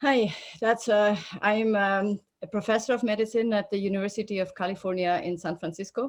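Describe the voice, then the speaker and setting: With a Swiss accent, a woman talks fairly quickly at medium pitch, keeping her intonation fairly even. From Switzerland. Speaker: oncologist and professor of medicine. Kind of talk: interview. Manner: halting with fillers.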